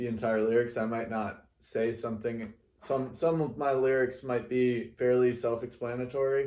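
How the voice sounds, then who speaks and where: Here a man talks in a dark, mellow tone with fairly even intonation. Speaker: singer-songwriter. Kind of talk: casual talk to camera. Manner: slow; halting, many pauses and fillers.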